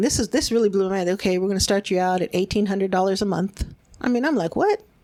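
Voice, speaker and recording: With fairly even intonation, a woman speaks in a medium-pitched, dark, mellow voice. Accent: American. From Los Angeles, California (East LA). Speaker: gang intervention worker. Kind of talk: interview. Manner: casual, conversational.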